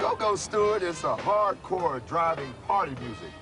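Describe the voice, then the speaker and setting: Moderately paced speech from a man with an American accent, against noticeable background noise. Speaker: radio personality and musician. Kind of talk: documentary interview answer. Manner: casual, conversational.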